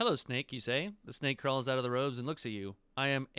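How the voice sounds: This natural reading voice holds a fairly even intonation throughout.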